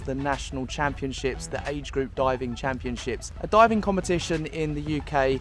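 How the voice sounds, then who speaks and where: Music plays in the background. A man with a southern English accent talks at a moderate pace. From southern England, near London. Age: 20s. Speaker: travel vlogger. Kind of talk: casual vlog Q&A.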